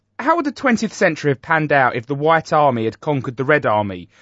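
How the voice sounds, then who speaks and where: Very rapid speech from a man with a fairly high voice. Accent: British. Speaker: comedy podcast host. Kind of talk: mock celebrity interview.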